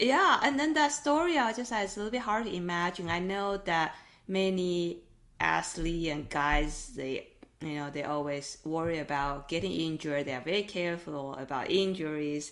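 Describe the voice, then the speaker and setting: A woman uses a normal speaking voice with lively intonation at a moderate pace. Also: fairly low pitch for a woman. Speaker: podcast host. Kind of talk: interview question.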